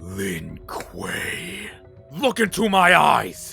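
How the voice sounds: A put-on character voice from a man at a medium pitch, bright and sharp with a husky, rough edge and vocal fry, very wide pitch swings, a very slow pace, and faint music in the background.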